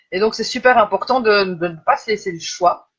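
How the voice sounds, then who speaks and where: A woman's fairly high voice with lively intonation at a fairly slow pace. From Belgium. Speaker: life coach. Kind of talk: live stream talk. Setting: live video stream. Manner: hesitant, many fillers.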